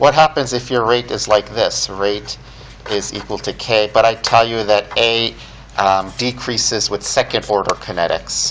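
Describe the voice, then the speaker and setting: Noticeable background noise sits behind a man speaking at a moderate pace. His pitch is medium and his intonation fairly even. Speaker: chemistry professor. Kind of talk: lecture.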